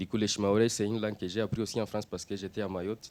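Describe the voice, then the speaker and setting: A man speaks in a Swahili accent. His tone is dark and mellow, with a fairly low pitch. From Democratic Republic of the Congo. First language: Swahili (speaking French). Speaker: refugee and interpreter. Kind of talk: audience Q&A answer.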